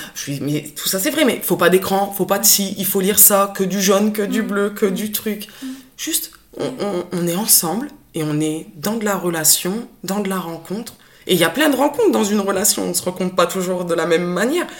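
Medium pitch marks this woman's voice. Noticeable background noise sits behind her. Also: moderate pace. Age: 30s. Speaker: special educator. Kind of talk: personal testimony in conversation.

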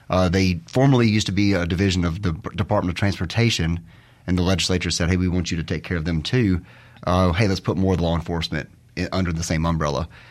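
Speaking at a very fast pace, a man uses a very deep, low voice with a Mississippi accent. His intonation stays fairly even. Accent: US South (Mississippi). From Mississippi (Terry). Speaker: lawyer for a state public safety department. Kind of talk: radio interview.

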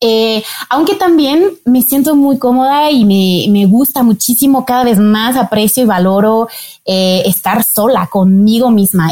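At a fairly slow pace, a woman with a fairly high, somewhat breathy voice keeps very even loudness and ordinary pitch variation. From France. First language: French (speaking Spanish). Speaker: marketing manager of a donor registry. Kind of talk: interview. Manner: hesitant, many fillers.

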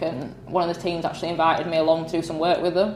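Speaking in a flat monotone with a strong northern English accent, a woman has a fairly low pitch, and there is noticeable background noise and audible room echo. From northern England. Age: 20s. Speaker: motorsport photographer. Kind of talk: casual chat. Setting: indoor meet-up venue.

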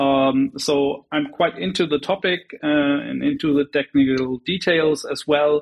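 This man talks at a fairly slow pace with hardly any pauses, his fairly high pitch showing ordinary variation in a plain, everyday voice. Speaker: executive advisor, petition author. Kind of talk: interview. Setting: video call.

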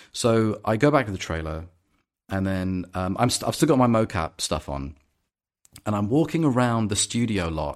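Over a silent background in a very clean recording, a man with fairly low pitch talks at a moderate pace, his pitch swinging very widely. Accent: London. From London. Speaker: actor. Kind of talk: casual chat.

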